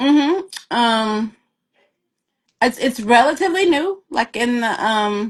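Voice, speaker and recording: A woman's high voice with a slight Southern US accent and lively intonation, very slow and broken by long, frequent pauses. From US South, rural. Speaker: author. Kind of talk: interview. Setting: live video stream.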